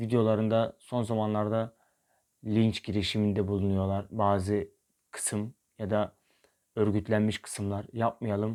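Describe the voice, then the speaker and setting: A man's medium-pitched voice, dark and mellow in tone, at a very slow pace. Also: very clean recording, silent background. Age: 20s. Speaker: YouTuber. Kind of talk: vlog monologue.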